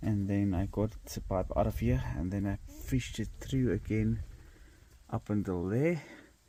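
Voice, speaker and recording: Dark and mellow in tone, a man speaks in a fairly low pitch. His pace is very slow. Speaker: DIY car hobbyist. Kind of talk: tutorial.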